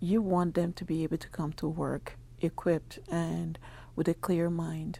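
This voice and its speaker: This very clean recording has a silent background. On it, a woman talks very slowly. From Nigeria. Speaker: home health agency founder. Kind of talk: radio interview.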